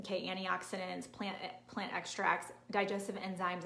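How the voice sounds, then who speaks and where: A woman's fairly quick voice with audible room echo. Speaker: nutrition and fitness coach. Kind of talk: live-streamed training. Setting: live video stream. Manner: fast; animated.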